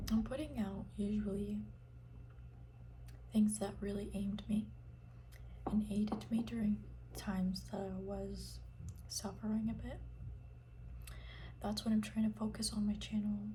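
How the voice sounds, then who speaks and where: Someone whispers, soft-spoken, at a fairly slow pace with long, frequent pauses. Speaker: ASMR creator. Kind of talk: ASMR whisper chat. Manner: whispered, soft-spoken.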